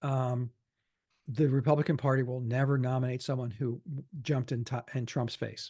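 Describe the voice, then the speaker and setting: With a quiet background, a man of medium pitch sounds somewhat breathy, with a dark, mellow tone, monotone, flat intonation and a moderate pace. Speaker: political cartoonist and podcast co-host. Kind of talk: casual political discussion.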